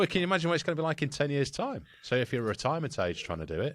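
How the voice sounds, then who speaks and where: A man's fairly high, vocal-fry voice at a very fast pace, with lively intonation, big swings in loudness, and a very clean recording with a silent background. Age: 40s. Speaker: podcast host. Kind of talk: casual chat.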